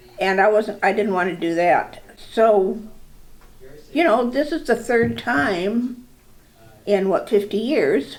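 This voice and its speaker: A woman speaks at a fairly high pitch with lively intonation and a very slow pace. Long, frequent pauses break her speech over noticeable background noise. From US, Pittsburgh. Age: 70s. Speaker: patient. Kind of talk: testimony. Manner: halting.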